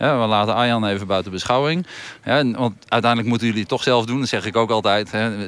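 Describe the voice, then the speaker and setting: A man speaks fairly quickly in an ordinary speaking voice, keeping a medium pitch and ordinary pitch variation. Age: 50s. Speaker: volleyball coach. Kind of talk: interview.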